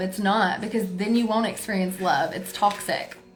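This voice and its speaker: A woman speaks at a medium pitch and a moderate pace in a monotone, flat intonation, with audible room echo and noticeable background noise. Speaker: tarot reader. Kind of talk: live tarot reading. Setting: livestream. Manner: forceful; loud.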